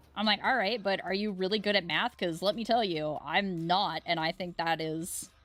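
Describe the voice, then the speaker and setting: Music plays behind a woman speaking. She talks at a moderate pace with ordinary pitch variation. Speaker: art streamer. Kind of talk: casual chat. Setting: live stream. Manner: loud.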